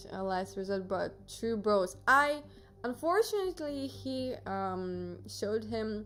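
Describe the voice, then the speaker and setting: With a Russian accent, a woman talks at a very slow pace. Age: 20s. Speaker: streamer. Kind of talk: casual chat. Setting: live stream. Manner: hesitant, many fillers.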